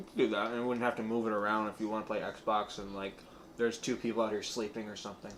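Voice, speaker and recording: Talking at a very fast pace, a man with an American accent uses a fairly low pitch and monotone, flat intonation. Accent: semi New York American. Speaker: podcast co-host. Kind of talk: casual chat.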